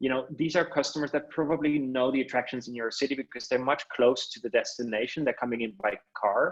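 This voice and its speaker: A man at a very fast pace, fairly high in pitch, with ordinary pitch variation. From Netherlands. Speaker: webinar host and presenter. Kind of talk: webinar presentation. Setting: online webinar.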